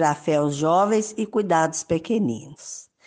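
Against a quiet background, a woman speaks at a very slow pace. Her intonation is lively. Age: 60s. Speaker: retired teacher, parish volunteer. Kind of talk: prepared testimony. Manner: formal.

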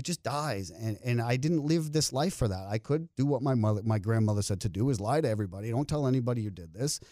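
A man speaks at a very fast pace with hardly any pauses. His voice has a medium pitch and a dark, mellow tone. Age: 50s. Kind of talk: stand-up; interview conversation.

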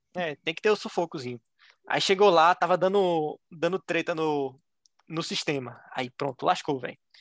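In a Pernambuco accent, a high-pitched man speaks at a moderate pace with ordinary pitch variation, the sound dry and close with no echo. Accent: Pernambuco Brazilian Portuguese. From Brazil, Recife (Pernambuco). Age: 20s. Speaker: engineering graduate admitted to Harvard. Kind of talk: interview storytelling. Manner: animated.

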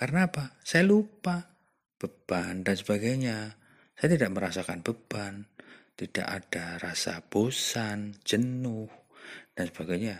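A man at a fairly low pitch with lively intonation and a fairly slow pace, in a very clean recording with a silent background. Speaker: podcast host. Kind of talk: reflective monologue. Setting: outdoors behind his village house at night.

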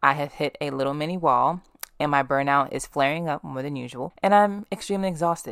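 Here a woman with a very deep, low voice talks at a fairly quick pace. Her tone is animated, with ordinary pitch variation. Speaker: podcast host. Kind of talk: casual chat. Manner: fast.

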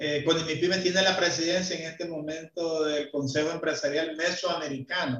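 The delivery is monotone, with flat intonation and a moderate pace. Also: man. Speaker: business association leader. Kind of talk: interview. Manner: halting.

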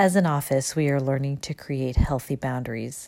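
At a moderate pace, a woman speaks with a very deep, low pitch and a dark, mellow tone. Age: 40s. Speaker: physician. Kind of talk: reading aloud.

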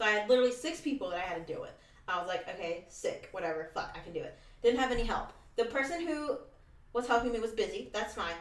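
A woman's high voice at a very fast pace, with very wide pitch swings, big swings in loudness and noticeable background noise. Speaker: podcast host. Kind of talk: casual chat. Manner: fast talker.

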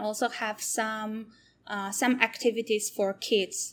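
A woman speaks with a Polish accent at a very slow pace. Her pitch is fairly high and her intonation fairly even. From Poland. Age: 30s. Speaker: zero-waste shop owner. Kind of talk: interview. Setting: online session.

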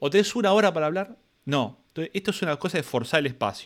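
Talking very fast with lively intonation, a man with a high voice speaks in an Argentine accent. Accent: Rioplatense Argentine Spanish. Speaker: podcast host and teacher. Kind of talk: casual interview chat. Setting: live-streamed video call.

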